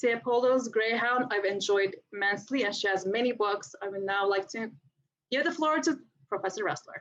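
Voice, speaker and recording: A woman's fairly high voice in an American accent, lively in intonation at a moderate pace. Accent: subtle. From New York City, raised from age 7 (born Istanbul). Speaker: professor and author. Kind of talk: panel talk.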